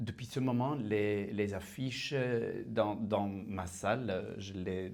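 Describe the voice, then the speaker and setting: A man with a non-native accent, fairly low pitch and ordinary pitch variation, at a very slow pace, with audible room echo. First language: Dutch (speaking French). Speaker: prison visitor. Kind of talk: testimony. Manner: halting.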